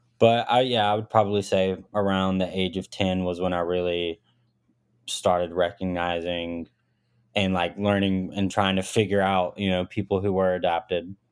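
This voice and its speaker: The delivery moves at a moderate pace in a monotone, flat intonation. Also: man, very deep, low pitch for a man. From US South, rural Arkansas. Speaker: audio engineer. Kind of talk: casual chat.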